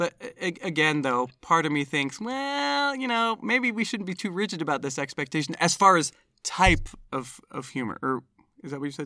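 In a very clean recording with a silent background, the voice has a bright, sharp tone and very wide pitch swings. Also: man, high pitch for a man, moderate pace. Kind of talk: casual chat.

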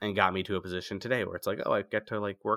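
Against a silent background on a very clean recording, a man with an American accent speaks at a fairly low pitch in a bright, sharp tone with monotone, flat intonation. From US Northeast, outside Philadelphia. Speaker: music publicist. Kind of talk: interview.

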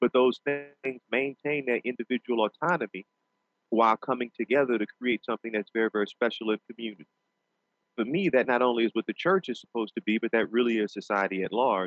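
Very fast delivery in a New Orleans accent, with ordinary pitch variation. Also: man, medium pitch for a man. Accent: Southern US, New Orleans. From US South, New Orleans. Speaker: pastor and law professor. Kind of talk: interview. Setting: studio.

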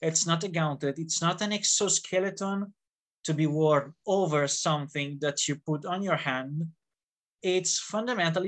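Over a quiet background, the speaker talks with an Italian accent at a fairly slow pace. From Italy. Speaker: fencing instructor and gauntlet designer. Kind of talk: interview. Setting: video call. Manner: animated.

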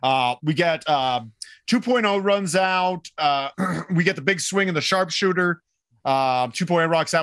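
With lively intonation, a man speaks at a moderate pace in a fairly high pitch. The background is quiet. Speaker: wrestling podcast co-host. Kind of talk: casual chat. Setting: live stream with mic.

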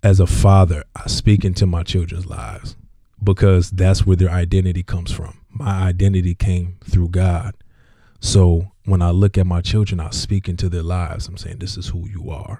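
A man with a very deep, low pitch speaks in a dark, mellow, somewhat breathy tone, keeping his intonation fairly even. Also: moderate pace, big swings in loudness. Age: young. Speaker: associate pastor. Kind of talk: casual chat.

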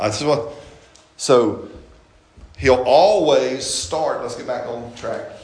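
Very slowly, with long, frequent pauses and big swings in loudness, a man speaks amid noticeable background noise and audible room echo. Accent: American. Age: 50s. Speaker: pastor. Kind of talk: sermon. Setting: church. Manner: animated.

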